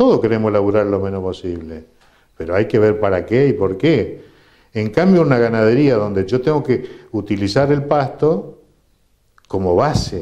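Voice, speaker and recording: The man's tone is dark and mellow, and his intonation is lively. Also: fairly low pitch for a man, moderate pace. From Argentina, Corrientes. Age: 60s. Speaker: agronomist. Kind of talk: interview.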